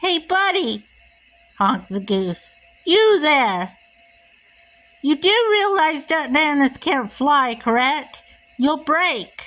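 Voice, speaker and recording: Over background music, a woman uses a put-on character voice pitched high, speaking very slowly with long, frequent pauses. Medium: read story.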